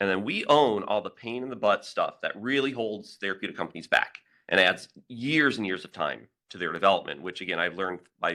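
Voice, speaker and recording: Loud and fairly low, a man's voice has a bright, sharp tone, ordinary pitch variation and a fairly quick pace. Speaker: biotech company founder and engineer. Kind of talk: conference presentation.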